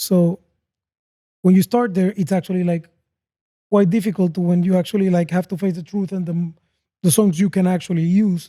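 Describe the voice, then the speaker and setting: Fairly quick speech in a Spanish accent, broken by long, frequent pauses, on a very clean recording with a silent background. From Panama. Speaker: podcast host. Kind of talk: casual interview chat.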